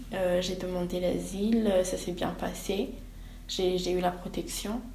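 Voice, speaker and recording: A woman with a Burundian accent speaks at a very slow pace in a medium pitch with monotone, flat intonation. Noticeable background noise and audible room echo fill the recording. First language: Kirundi (speaking French). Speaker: student, asylum seeker. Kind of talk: interview. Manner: halting, many hesitations.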